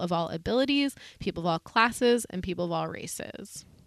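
A woman with an American accent and an unremarkable speaking voice, medium-pitched at a moderate pace, in a dry, close sound with no echo on a very clean recording with a silent background. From US Northeast, Berkshires (Massachusetts). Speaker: podcast host living with chronic illness. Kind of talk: casual conversational podcast.

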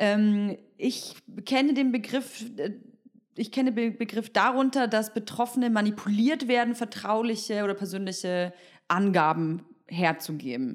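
Using a plain, everyday voice, a woman of medium pitch speaks at a moderate pace with lively intonation. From Berlin, Germany. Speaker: podcast host. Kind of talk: casual interview.

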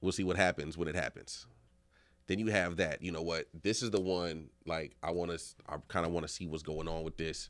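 In a very clean recording with a silent background, a man speaks at a fairly quick pace. His voice is very deep and low, with fairly even intonation. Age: 40s. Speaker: podcast co-host. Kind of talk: casual chat. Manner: casual, joking.

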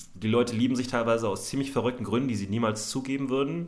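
Audible room echo surrounds a man with a medium pitch and ordinary pitch variation. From Berlin, Germany. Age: 30s. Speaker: comedy podcast host. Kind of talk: casual chat.

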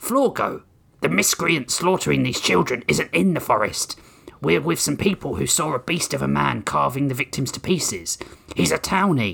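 A growling, put-on character voice from a man, medium in pitch, at a moderate pace. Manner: growling, stern.

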